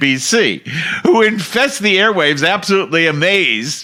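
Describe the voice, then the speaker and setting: A man shouts at a fairly slow pace. His pitch swings very widely. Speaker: political podcast host. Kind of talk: political commentary rant. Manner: animated; shouting.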